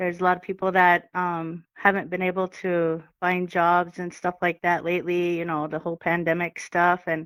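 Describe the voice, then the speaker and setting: A woman's fairly low pitch, monotone and flat, at a moderate pace on a very clean recording with a silent background. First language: Crow. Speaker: powwow dancer and organizer. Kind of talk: casual interview. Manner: hesitant, many fillers.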